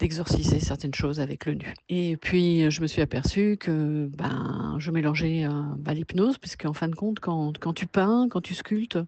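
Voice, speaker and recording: A woman with a very deep, low pitch talks with hardly any pauses. Noticeable background noise sits behind her. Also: ordinary pitch variation, fairly slow pace. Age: 60s. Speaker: artist and workshop leader. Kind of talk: personal interview. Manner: hesitant, many fillers.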